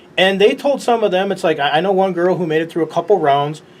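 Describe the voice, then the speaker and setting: A man talks very fast in a high voice with an American accent. Background noise is noticeable. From Chicago, US. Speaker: sports show host. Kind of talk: interview.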